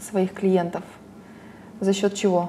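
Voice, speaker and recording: A medium-pitched woman's voice over noticeable background noise. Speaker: interviewer. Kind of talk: casual interview.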